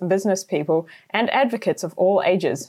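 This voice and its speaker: At a moderate pace, a woman with a New Zealand accent speaks at medium pitch with ordinary pitch variation. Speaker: journalist and podcast host. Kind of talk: scripted narration.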